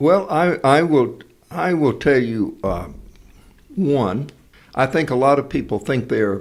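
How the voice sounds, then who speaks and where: A man talks at a very slow pace with long, frequent pauses. His fairly high voice carries vocal fry and lively intonation. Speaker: actor and speaker. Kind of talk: interview answer.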